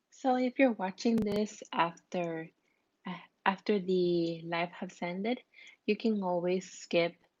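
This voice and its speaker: A woman speaks very slowly with a non-native accent. The background is quiet. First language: not English. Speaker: crafts tutorial creator. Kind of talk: live-streamed craft tutorial. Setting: live stream. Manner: halting, self-repeating.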